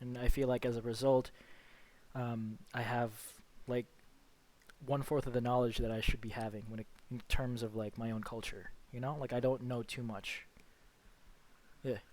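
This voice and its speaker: With an American accent, a man speaks at a moderate pace and medium pitch, his intonation flat and monotone, broken by long, frequent pauses. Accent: American with Filipino background. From Philippines and Las Vegas. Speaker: podcast co-host. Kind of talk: casual chat.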